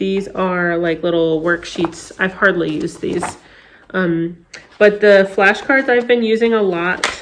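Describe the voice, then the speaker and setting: With an American accent and ordinary pitch variation, a woman speaks against noticeable background noise. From North Carolina, US South. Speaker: homeschooling parent. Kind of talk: casual tutorial. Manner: hesitant, many fillers.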